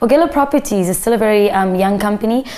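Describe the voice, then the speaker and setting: A woman speeds through her words very fast while noticeable noise fills the background. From South Africa, raised in Pretoria. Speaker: media entrepreneur. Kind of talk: interview.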